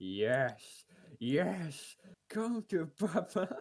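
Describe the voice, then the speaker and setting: A man puts on a character voice pitched high. It swings very widely in pitch. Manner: sleazy, seductive.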